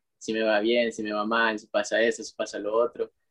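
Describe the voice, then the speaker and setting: At a moderate pace, a man with an unremarkable speaking voice talks in a medium pitch, with a dry, close sound and no echo. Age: 20s. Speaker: footballer and business student. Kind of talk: casual chat.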